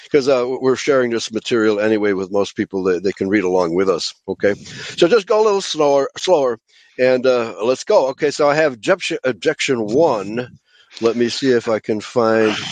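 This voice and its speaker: A man with a normal speaking voice, medium pitch, lively intonation and a moderate pace. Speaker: pastor and radio host. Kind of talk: religious teaching show with discussion of scripture. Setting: internet radio show.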